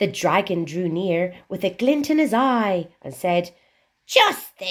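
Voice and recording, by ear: Reading aloud in a natural voice, with lively intonation against a quiet background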